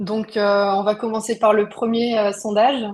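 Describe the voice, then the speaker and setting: A woman speaks at medium pitch in a monotone, flat delivery. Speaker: webinar host, procurement software founder. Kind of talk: live webinar hosting. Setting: online video webinar. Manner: hesitant, many filler words.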